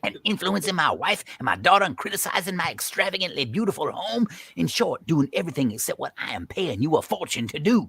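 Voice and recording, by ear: A man's put-on character voice, fairly high-pitched, with big pitch swings, a fast pace, vocal fry and a slightly husky edge.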